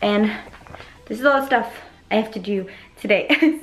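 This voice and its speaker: Over faint music in the background, a woman talks at a fairly quick pace with ordinary pitch variation. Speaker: vlogger. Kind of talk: casual vlog chat. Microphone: phone near.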